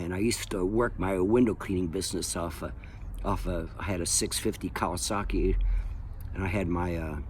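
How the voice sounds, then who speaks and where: A man with a very deep, low pitch and ordinary pitch variation, moderate pace, audible room echo around him. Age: 70s. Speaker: window cleaning business owner. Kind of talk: casual monologue. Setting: outdoors in backyard. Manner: halting, many fillers.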